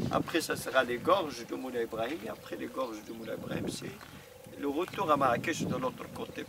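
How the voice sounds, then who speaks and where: Noticeable background noise sits behind speech delivered at a moderate speed. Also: man. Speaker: tour guide. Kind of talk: guided tour commentary.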